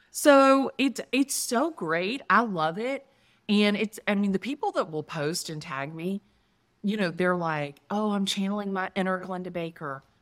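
A woman with an American accent at medium pitch, fairly slow and lively in intonation, in a very clean recording with a silent background. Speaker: real estate agent. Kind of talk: interview. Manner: animated.

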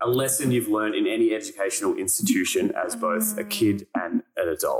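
Fairly quick speech in an Australian accent, with music in the background. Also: man. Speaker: podcast host. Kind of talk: casual chat; scripted narration.

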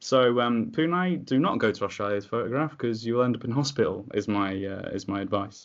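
With an English accent, a man talks at a fairly quick pace with hardly any pauses. His medium-pitched voice has lively intonation. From England. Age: 20s. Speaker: music photographer hosting Q&A sessions. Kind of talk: casual chat. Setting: video call.

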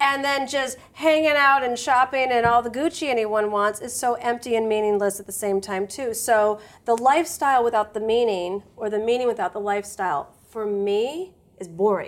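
At a moderate pace, a woman with a plain, everyday voice talks at a fairly high pitch with ordinary pitch variation. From US Midwest, suburbs of Detroit. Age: 40s. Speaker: author and former psychotherapist. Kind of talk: casual interview chat.

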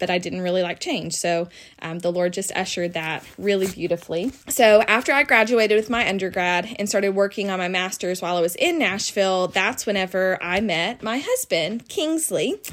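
The speaker talks at a fairly quick pace in a Southern US accent, with hardly any pauses. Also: woman, medium pitch for a woman, ordinary pitch variation. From Tennessee, US South. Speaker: guest sharing her testimony. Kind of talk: testimony. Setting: recording in person with host.

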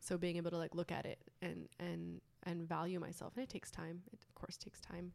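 Talking at a fairly quick pace, a woman with an American accent shows big swings in loudness. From British Columbia, Canada and Bay Area, California. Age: 20s. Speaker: artist and poet. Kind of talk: casual interview.

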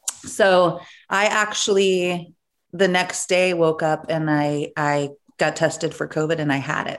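On a very clean recording with a silent background, a woman speaks in a normal speaking voice, fairly low in pitch, with fairly even intonation. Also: fairly slow pace. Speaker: podcast host. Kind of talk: casual chat.

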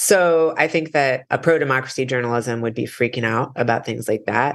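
With an American accent and a normal speaking voice, a man talks at a moderate pace, with medium pitch and ordinary pitch variation. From US Midwest. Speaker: independent journalist. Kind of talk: interview.

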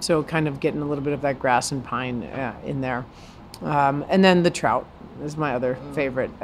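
A woman with an American accent speaks in a very deep, low voice, her pitch moving with ordinary variation. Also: moderate pace. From New York City (Brooklyn). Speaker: chef. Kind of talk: casual interview. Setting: in a restaurant.

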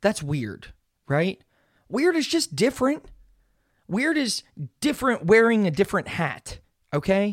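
The tone is animated while the pace stays fairly slow, broken up by long, frequent pauses. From Pittsburgh, Pennsylvania, US. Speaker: podcast host. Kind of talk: casual solo monologue. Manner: animated, rambling with many fillers.

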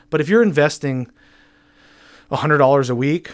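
An unremarkable speaking voice belongs to a man with an American accent and a fairly high pitch. He talks at a moderate pace on a very clean recording with a silent background. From northern New York State, Plattsburgh. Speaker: accountant. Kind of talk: casual chat. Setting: studio.

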